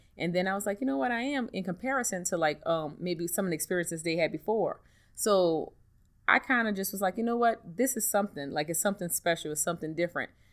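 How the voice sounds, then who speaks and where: A woman's very fast, lively-toned speech on a very clean recording with a silent background. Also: medium pitch for a woman. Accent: New Orleans. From US South, New Orleans. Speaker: hairstylist and hair care entrepreneur. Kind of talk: interview.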